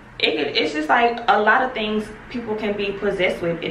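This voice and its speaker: Heard through noticeable background noise and audible room echo, a woman speaks with ordinary pitch variation. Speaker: vlogger. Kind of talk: casual vlog monologue. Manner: fast, sometimes tripping over words.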